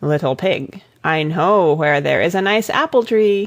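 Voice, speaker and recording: A woman performs a raspy, put-on character voice. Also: fairly low pitch for a woman, moderate pace. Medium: read story. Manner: sly, coaxing.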